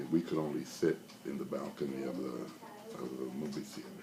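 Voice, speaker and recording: A man at a moderate pace, with audible room echo. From Southern California (Pomona), Mexican-American community. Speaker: activist. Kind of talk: interview. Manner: halting, many fillers.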